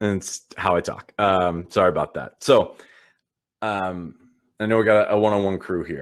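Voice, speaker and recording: His intonation is fairly even. The man's pitch sits fairly low. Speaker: digital organizing trainer. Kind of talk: online training session. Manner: fast; filler-heavy, repeats words.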